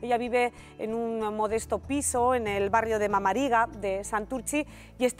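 The speech moves at a fairly slow pace over faint music in the background. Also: woman. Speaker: TV presenter. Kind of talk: TV news introduction. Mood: serious, sympathetic. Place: studio. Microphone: lapel.

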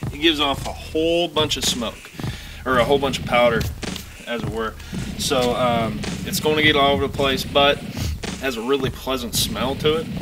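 A man with ordinary pitch variation over noticeable background noise. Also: fairly quick pace. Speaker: product reviewer. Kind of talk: casual product review chat. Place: open country. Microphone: camera far.

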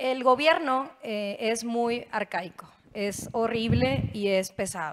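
A woman is speaking. Her pitch is fairly high. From Mexico, Nuevo León. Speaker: state legislator; panelist. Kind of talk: panel discussion. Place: stage. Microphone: handheld.

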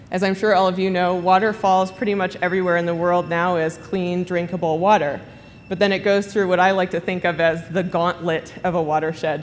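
A woman at a fairly quick pace, monotone and flat in intonation, over light background noise. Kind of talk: conference talk. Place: hall. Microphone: podium.

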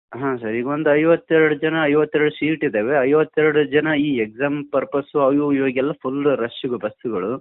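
The man's voice sits fairly high in pitch, with fairly even intonation. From Gadag district, North Karnataka, India. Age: 30s. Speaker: blind caller, musician. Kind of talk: phone-in conversation. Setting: phone call. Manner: halting.

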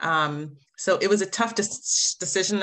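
Against a quiet background, a woman speaks in an American accent with a bright, sharp tone and ordinary pitch variation. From New Jersey, US. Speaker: diversity and inclusion manager; podcast guest. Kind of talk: interview answers. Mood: reflective, emotional at times. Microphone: video call.

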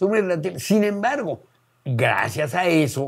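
Over a quiet background, a man speaks at a very slow pace, his pitch swinging very widely. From Mexico City, Mexico; Mexico. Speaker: biologist and folk musician; interviewee. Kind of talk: casual interview reminiscence. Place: home room.

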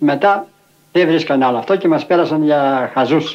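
Through noticeable background noise, a man talks at a fairly high pitch with ordinary pitch variation. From Arta, Epirus, Greece. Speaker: settler, former leather dyer. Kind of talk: documentary interview testimony.

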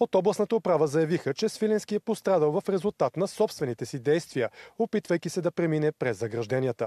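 A man's fairly high voice with a dark, mellow tone, very wide pitch swings, a fairly quick pace and a dry, close sound with no echo. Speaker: TV news reporter. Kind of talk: news report narration.

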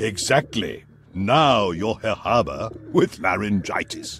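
Putting on a character voice, a man speaks slowly at a fairly low pitch with lively intonation, a fairly bright tone and a slightly husky edge.

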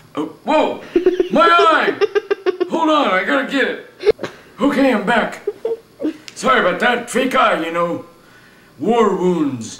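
A man speaks in a cartoonish character voice at an extremely high pitch, with very wide pitch swings, a fairly slow pace and long, frequent pauses. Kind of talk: comic overacting. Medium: puppet show. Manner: chipper, goofy, rambling.

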